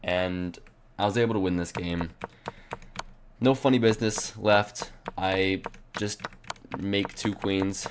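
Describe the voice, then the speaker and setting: Long, frequent pauses break up the speech, and noticeable background noise runs underneath. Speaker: chess streamer. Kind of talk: game commentary. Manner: casual.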